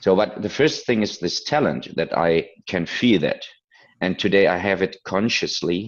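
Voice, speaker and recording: A man's fairly low voice with a non-native accent, moderate pace and ordinary pitch variation. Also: quiet background. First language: not English. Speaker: business consultant. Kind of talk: interview. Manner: halting.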